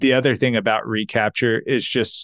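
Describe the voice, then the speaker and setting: In an unremarkable speaking voice, a man with an American accent talks at a moderate pace and a medium pitch with fairly even intonation, the sound dry and close with no echo and the background quiet. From Texas. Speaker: accountant and financial planner. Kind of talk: interview.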